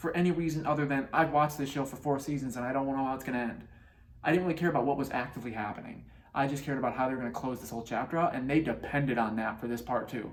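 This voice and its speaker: A man speaks very fast, and audible room echo carries his voice. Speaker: TV reviewer. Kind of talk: casual review monologue. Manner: hesitant with fillers.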